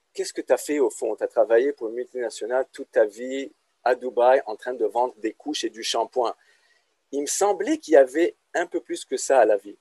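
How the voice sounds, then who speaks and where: The speech moves at a fairly quick pace with big swings in loudness, and the sound is dry and close with no echo. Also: man. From Lebanon. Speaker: business lecturer. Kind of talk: casual interview.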